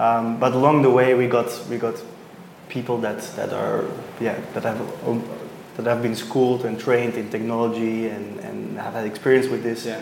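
There is audible room echo and noticeable background noise. A man speaks at a moderate pace and medium pitch with fairly even intonation. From Belgium. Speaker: startup founder. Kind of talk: interview. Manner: halting.

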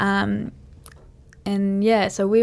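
A woman with an Australian accent is heard on a very clean recording against a silent background. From western New South Wales, Australia. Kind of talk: casual interview.

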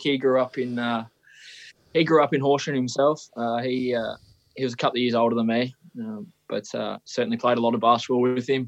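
A man with an Australian accent speaks fairly quickly at a medium pitch, keeping his intonation fairly even while leaving long, frequent pauses. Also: quiet background. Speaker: professional footballer. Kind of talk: casual chat. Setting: video call.

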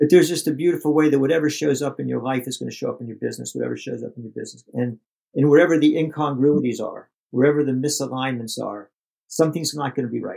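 A man with an American accent talks at a very fast pace. His loudness swings widely. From US, Pittsburgh, Pennsylvania. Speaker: lawyer, entrepreneur and mentor. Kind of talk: interview conversation. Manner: halting, repeating words.

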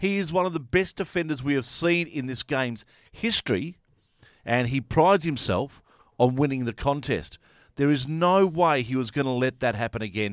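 A man with an Australian accent, fairly high in pitch, lively in intonation, at a moderate pace, in a dry, close sound with no echo on a very clean recording with a silent background. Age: 50s. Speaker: sports podcast co-host. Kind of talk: casual chat.

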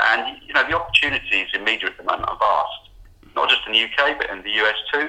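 Noticeable background noise sits behind this man. He talks at a fairly quick pace. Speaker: publishing executive. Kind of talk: interview.

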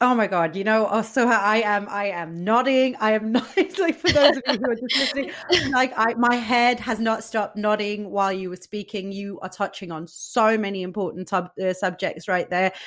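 Over noticeable background noise, a woman with a fairly high pitch and ordinary pitch variation keeps a moderate pace with hardly any pauses. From Denmark, Moroccan-Danish background. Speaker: podcast host. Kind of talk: casual interview chat.

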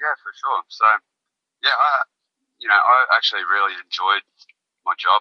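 Pausing long and often, a man with an Australian accent speaks at a moderate pace. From rural Queensland, Australia. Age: young. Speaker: musician and charity founder. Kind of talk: casual interview chat.

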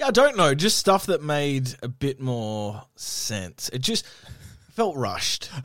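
A man's fairly high voice in an Australian accent, at a very slow pace with very wide pitch swings, on a very clean recording with a silent background. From Western Australia, Perth. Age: 30s. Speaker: radio host. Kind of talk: casual chat.

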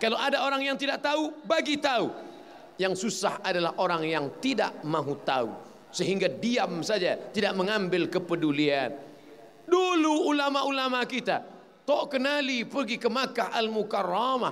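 A man's voice at an extremely high pitch, with very wide pitch swings, very even loudness, a moderate pace, audible room echo and noticeable background noise. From Riau, Sumatra, Indonesia. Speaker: Islamic preacher. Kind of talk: religious lecture. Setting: mosque.

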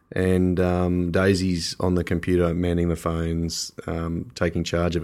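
On a very clean recording with a silent background, a man with an Australian accent speaks in a very deep, low voice with monotone, flat intonation. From Australia (Canberra). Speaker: winemaker. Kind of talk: casual interview. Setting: in person.

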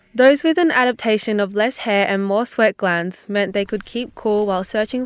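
A woman talks at a moderate pace in a plain, everyday voice. Her pitch is medium, with ordinary variation. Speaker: software engineering student. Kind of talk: explainer segment.

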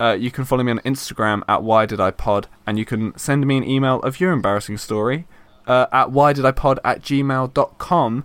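A normal speaking voice from a man, medium in pitch, with ordinary pitch variation and moderate pacing. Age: 20s. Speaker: podcast host. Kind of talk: casual chat.

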